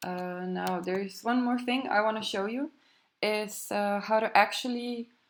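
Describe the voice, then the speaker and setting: A woman with a non-native accent, a fairly high pitch, fairly even intonation and a fairly slow pace, in a very clean recording with a silent background. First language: not English. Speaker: web developer. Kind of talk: tutorial. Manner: hesitant, many fillers.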